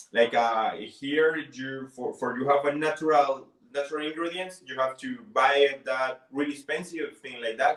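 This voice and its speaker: Speaking at a moderate pace with hardly any pauses, a man with a Spanish accent uses a fairly high voice with fairly even intonation and big swings in loudness. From Colombia. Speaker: bartender. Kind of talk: interview; tutorial. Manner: halting.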